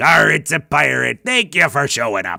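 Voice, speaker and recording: Using a put-on character voice, a man sounds raspy at a medium pitch. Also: moderate pace. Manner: gruff, exaggerated.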